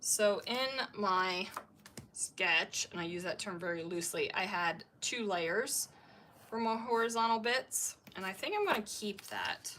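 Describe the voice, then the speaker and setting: With an American accent, a woman speaks at a medium pitch and a moderate pace, using ordinary pitch variation. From Maryland, US. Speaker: scrapbooking YouTuber. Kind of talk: live-stream crafting tutorial chat. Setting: live stream. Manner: chatty, thinking aloud.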